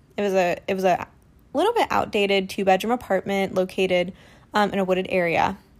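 A woman with a Midwestern US accent at a fairly quick pace. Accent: US Midwest. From rural Ohio. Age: 20s. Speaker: podcaster. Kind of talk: personal monologue.

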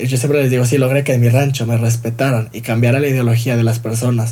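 With a Mexican accent, a man talks at a very fast pace in a dark, mellow, somewhat breathy tone, his intonation monotone and flat, with audible room echo. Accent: Mexican Spanish (Jalisco). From Mexico, Guadalajara, Jalisco. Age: 20s. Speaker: fashion designer. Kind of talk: interview.

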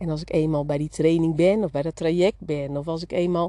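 A woman talks as noticeable background noise carries on behind her. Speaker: business coach for beauty salon owners. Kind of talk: solo podcast monologue. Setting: outdoors in the garden.

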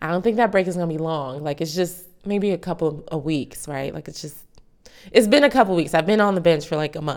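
A woman talks at a fairly quick pace in a fairly low pitch, her tone animated. Her pitch varies an ordinary amount while her loudness swings widely. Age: 30s. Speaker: podcast host. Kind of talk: casual faith-based solo talk.

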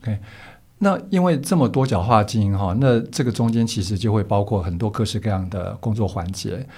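A man's fairly low, somewhat breathy voice, dark and mellow in tone, with ordinary pitch variation. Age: 60s. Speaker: podcast host. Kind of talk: interview.

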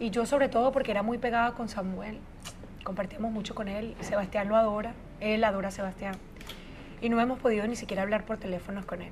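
A woman with a fairly high pitch talks at a very fast pace, her intonation fairly even. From Venezuela, Caracas. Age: 40s. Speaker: media personality. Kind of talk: interview.

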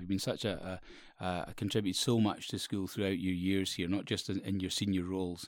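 Speaking in a Scottish Borders accent, a man has a very deep, low pitch. His pace is fairly quick. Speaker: school teacher or head. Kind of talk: casual interview. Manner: halting, repeats words.

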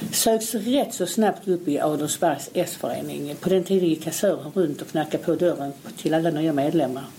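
A woman at a moderate pace, with an ordinary speaking voice, a fairly low pitch and ordinary pitch variation. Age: 60s. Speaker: local opposition politician. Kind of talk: interview.

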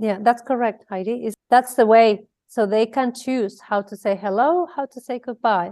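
In a Spanish accent, a woman speaks at a moderate pace and a fairly high pitch with a dark, mellow tone, ordinary pitch variation, big swings in loudness and hardly any pauses, against a quiet background. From Spain, Mallorca. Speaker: abuse prevention educator. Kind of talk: interview. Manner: halting.

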